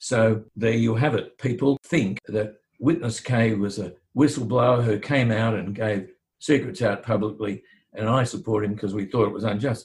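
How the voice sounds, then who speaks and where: The man's voice is somewhat breathy and medium-pitched, with ordinary pitch variation at a moderate pace. The recording is very clean, with a silent background. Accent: Australian. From Australia. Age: 70s. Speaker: barrister and former attorney general. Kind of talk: interview.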